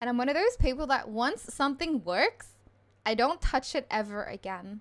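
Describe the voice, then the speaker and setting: A woman speaks with a high pitch and an Australian accent. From Australia, Melbourne. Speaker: game streamer. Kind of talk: casual live stream chat. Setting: home streaming setup with fan/aircon. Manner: chatty, rambling.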